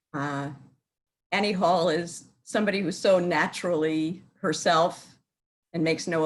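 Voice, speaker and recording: With an American accent, a woman talks at a fairly slow pace in a fairly low pitch. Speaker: cantor. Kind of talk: interview. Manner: hesitant, many fillers.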